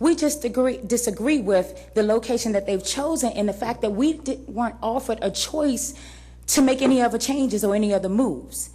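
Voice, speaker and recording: This woman's tone is dark and mellow, her pitch fairly high, with vocal fry. She talks at a fairly quick pace with ordinary pitch movement. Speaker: parent speaking at public comment. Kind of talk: public comment at board meeting. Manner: loud.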